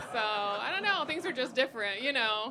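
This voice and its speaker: Noticeable background noise sits behind a voice that moves at a moderate pace. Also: woman. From Germany, childhood in Sierra Leone. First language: German. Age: 40s. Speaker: stand-up comedian. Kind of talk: stand-up. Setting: stage with audience. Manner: hesitant, many fillers.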